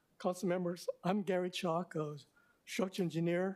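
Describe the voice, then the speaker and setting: Here a man talks at a fairly quick pace. His high voice stays monotone, with flat intonation. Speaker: structural engineer testifying. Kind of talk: public testimony. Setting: city council meeting. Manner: quiet.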